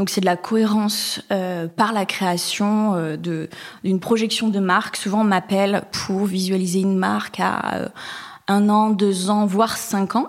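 A woman's medium-pitched voice, flat and monotone, at a very slow pace with very even loudness. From Basque Country, France. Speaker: designer. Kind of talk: interview.

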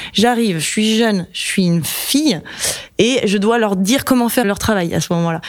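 With noticeable background noise, a woman talks at a fairly quick pace with ordinary pitch variation. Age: 30s. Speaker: engineer and manager. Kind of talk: casual interview, Q&A with students.

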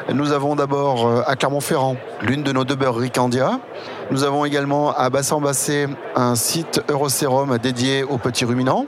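A man speaks at a moderate pace and fairly high pitch in a monotone, flat intonation with very even loudness, amid audible room echo and noticeable background noise. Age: 40s. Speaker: dairy farmer and cooperative representative. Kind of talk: interview. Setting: at an agricultural trade fair. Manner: formal; hesitant.

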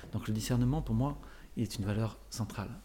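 Fairly quick, with vocal fry and a dark, mellow tone, from a man with a fairly low pitch and fairly even intonation. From France, Paris area. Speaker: orchestra conductor and corporate speaker. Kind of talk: interview.

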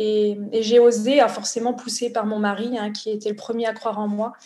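A dark, mellow tone from a woman, fairly high in pitch, at a moderate speed. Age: 40s. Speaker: social entrepreneur. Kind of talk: interview.

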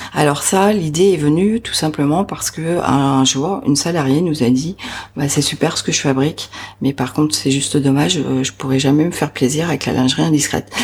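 Speaking at a moderate pace, a woman has a very deep, low voice with ordinary pitch variation. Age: 50s. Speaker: entrepreneur. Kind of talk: interview. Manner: hesitant, with fillers.

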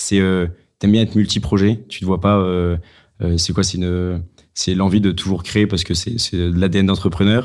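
The delivery is monotone and flat at a moderate pace, in a very clean recording with a silent background. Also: man, very deep, low pitch for a man. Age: 20s. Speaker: podcast host. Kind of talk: casual interview.

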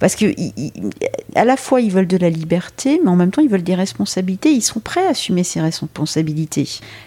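A woman at a fairly slow pace. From Brittany, France. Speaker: headhunter. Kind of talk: interview. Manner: hesitant, many fillers.

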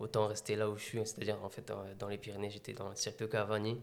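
A man's voice is heard. It sits at a medium pitch. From France, Meaux (Seine-et-Marne). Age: 20s. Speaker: athlete and adventurer. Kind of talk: interview.

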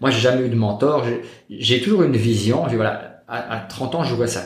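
In a room with audible echo and noticeable background noise, a man with a medium pitch talks at a moderate pace with lively intonation. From Belgium, Liège. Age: 30s. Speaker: real estate investor. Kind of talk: interview. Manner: calm.

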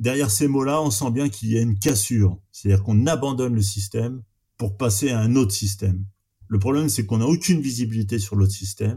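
Speaking at a fairly quick pace, a man has a medium pitch, a dark, mellow tone, a somewhat breathy quality and ordinary pitch variation. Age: 50s. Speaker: arable farmer. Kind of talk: interview. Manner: halting.

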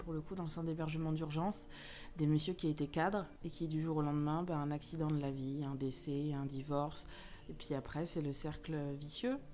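In a room with audible echo, a woman speaks at a moderate pace with fairly even intonation. Her voice is very deep and low, with a dark, mellow tone. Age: 30s. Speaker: social worker and model. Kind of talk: casual chat.

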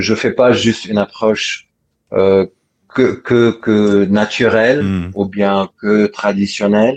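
Fairly low in pitch, a man speaks at a very slow pace with fairly even intonation. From Lebanon. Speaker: doctor. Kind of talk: interview. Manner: halting.

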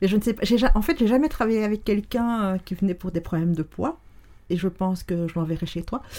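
Fairly quick speech from a woman with a dark, mellow tone, medium pitch and lively intonation. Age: 50s. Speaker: neuroscience and NLP coach. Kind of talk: casual interview conversation. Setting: in the host's home, sitting on a sofa in the same room.

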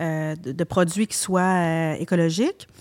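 This is a very clean recording of a woman against a silent background. Her voice sounds dry and close, without any echo. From Quebec, Montreal. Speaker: hairdresser and salon owner. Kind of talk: casual interview.

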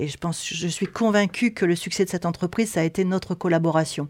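A woman with an ordinary speaking voice talks at a fairly quick pace and medium pitch. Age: 60s. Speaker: textile company owner. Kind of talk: interview. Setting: knitting factory.

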